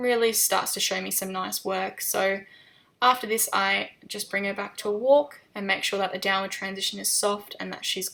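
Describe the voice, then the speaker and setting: The voice has a bright, sharp, relaxed tone and moves at a moderate pace. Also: woman. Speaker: equestrian vlogger. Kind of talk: voiceover narration of riding video. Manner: hesitant, many fillers.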